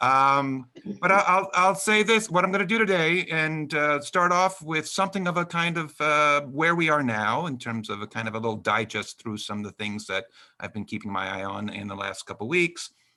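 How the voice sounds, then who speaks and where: On a very clean recording with a silent background, a man with an American accent speaks with a fairly high pitch, a bright, sharp tone and very wide pitch swings. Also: moderate pace. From US Northeast, New York. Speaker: author and epidemiologist. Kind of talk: lecture. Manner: halting, many fillers.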